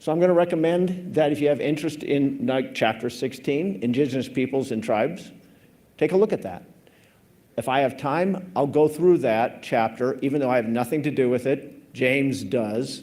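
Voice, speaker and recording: Speaking with a US Midwestern accent, a man has a dark, mellow tone at a fairly high pitch. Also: ordinary pitch variation, moderate pace. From Nebraska, US Midwest. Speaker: government climate scientist. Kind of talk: conference presentation. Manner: casual, informal.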